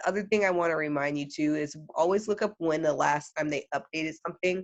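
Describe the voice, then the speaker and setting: Very fast, a woman with a very deep, low voice speaks with fairly even intonation. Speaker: early childhood education trainer. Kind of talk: tutorial.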